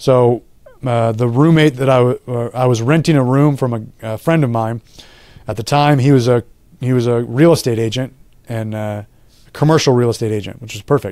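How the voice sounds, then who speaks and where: A man with an American accent and medium pitch, fairly quick yet broken by long, frequent pauses, fairly even in intonation, in a very clean recording with a silent background. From California. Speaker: gym owner and strength coach. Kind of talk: casual interview conversation. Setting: podcast interview. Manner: conversational, many fillers and restarts.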